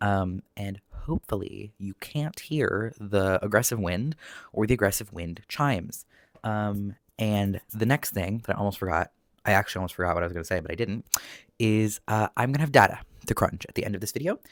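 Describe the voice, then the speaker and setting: Soft-spoken and fairly low-pitched, a man talks at a fairly quick pace with ordinary pitch variation, in a dry, close sound with no echo on a very clean recording with a silent background. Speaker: knitting youtuber. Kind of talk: casual chat. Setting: at home, window open. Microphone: new proper microphone.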